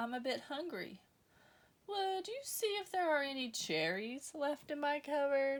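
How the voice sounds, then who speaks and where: Putting on a character voice, a woman speaks at a moderate pace and a high pitch. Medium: read story.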